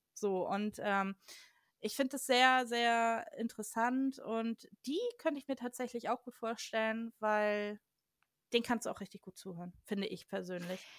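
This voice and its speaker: A woman with an ordinary speaking voice talks at a fairly slow pace and a fairly high pitch. Her loudness swings widely while her pitch varies in an ordinary way. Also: dry, close sound with no echo. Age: 30s. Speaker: urban explorer and photographer. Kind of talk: casual chat.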